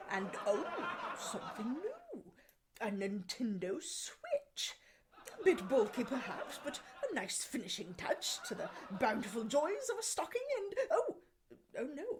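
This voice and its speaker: A high-pitched put-on character voice at a fairly slow pace, with long, frequent pauses. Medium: comedy sketch. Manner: prim, genteel.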